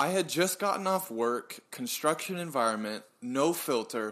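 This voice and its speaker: An unremarkable speaking voice from a man at a moderate pace, on a very clean recording with a silent background. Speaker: podcast co-host. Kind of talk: casual chat.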